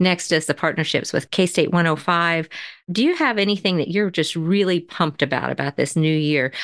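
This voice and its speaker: This is a woman with a plain, everyday voice. Her pitch sits fairly low, and her intonation stays fairly even. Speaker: podcast host. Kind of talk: interview, casual chat.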